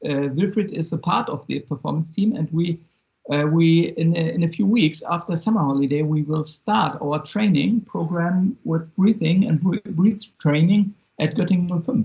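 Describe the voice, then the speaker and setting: Someone talks at a moderate pace with a German accent. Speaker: sports performance coach. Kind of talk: video call presentation. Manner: halting.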